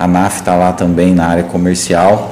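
Audible room echo and noticeable background noise are heard as the voice proceeds at a moderate pace. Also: man. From Goiás, Brazil. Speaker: podcast host. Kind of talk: live podcast interview. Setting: studio, livestreamed.

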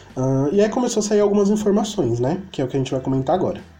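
Noticeable background noise is present throughout. Against it, a man's pitch rises and falls very widely. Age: 20s. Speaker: podcast host. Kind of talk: casual chat. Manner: animated.

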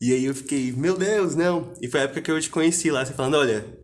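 A man with an unremarkable speaking voice keeps up a fairly quick pace. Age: 20s. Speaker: podcast host. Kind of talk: casual interview.

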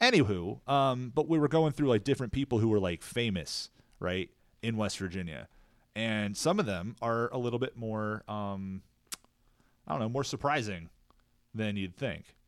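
In a very clean recording with a silent background, a man with an American accent speaks at a moderate pace and a fairly low pitch, with lively intonation and long, frequent pauses. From Maryland. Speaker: podcast co-host. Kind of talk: casual chat.

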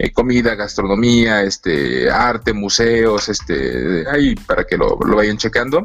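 A man speaks very slowly with hardly any pauses and very even loudness. Background noise is noticeable. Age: 40s. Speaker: anthropologist. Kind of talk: casual interview.

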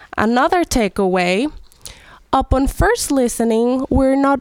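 A woman with a Spanish accent, fairly slow and lively in intonation, in a dry, close sound with no echo. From Venezuela. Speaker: ethnomusicologist. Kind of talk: educational explanation.

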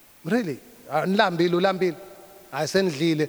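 A man's high-pitched voice at a moderate pace. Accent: Zulu. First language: Zulu. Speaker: pastor. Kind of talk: sermon, code-switching between English and Zulu. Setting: church service with congregation. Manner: hesitant fillers, repeated uh and um.

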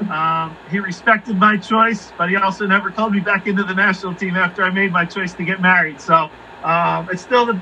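With a Philadelphia accent, a man talks in a raised, projected, high voice at a very fast pace with fairly even intonation. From Philadelphia area, Pennsylvania. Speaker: pro soccer coach. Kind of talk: casual interview.

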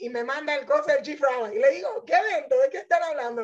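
Her voice high-pitched, a woman speaks with lively intonation. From Panama. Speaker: Torah teacher. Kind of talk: testimony. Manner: fast.

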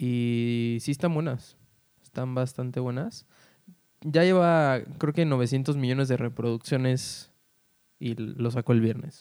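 A man with a medium-pitched voice and a dark, mellow tone talks at a very slow pace, his intonation fairly even and broken by long, frequent pauses. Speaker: podcast co-host. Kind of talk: casual chat. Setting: recording at home.

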